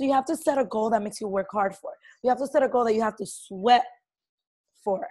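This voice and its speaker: This woman talks at a very fast pace. Her tone is animated and her intonation lively. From Latin American heritage. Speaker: network marketing team leader. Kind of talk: team training call. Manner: loud.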